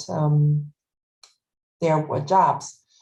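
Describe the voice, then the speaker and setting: A somewhat breathy woman in a German accent, dark and mellow in tone, at a fairly slow pace. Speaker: retail worker and union organizer. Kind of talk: panel discussion. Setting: webinar video call. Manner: halting.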